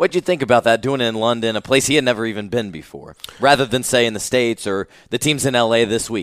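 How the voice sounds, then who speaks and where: Very fast and medium-pitched, a man talks with ordinary pitch variation in a dry, close sound with no echo. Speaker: sports podcast host. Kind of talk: interview. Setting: conference room.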